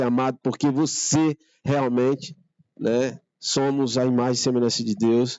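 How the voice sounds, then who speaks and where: A man speaks at a fairly slow pace and medium pitch. His intonation is monotone and flat. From Northeast Brazil, Maceió, Alagoas. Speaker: church member. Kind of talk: testimony. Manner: halting.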